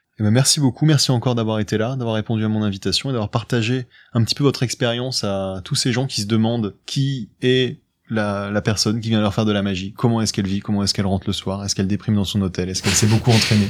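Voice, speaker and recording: Very fast and with fairly even intonation, a man talks in a fairly low voice. The recording is very clean, with a silent background. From France, Paris suburbs. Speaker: podcast host and amateur magician. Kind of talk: casual interview.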